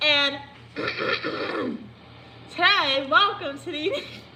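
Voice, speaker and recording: A put-on character voice from a woman, high-pitched, with clear background noise. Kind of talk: radio announcer voice.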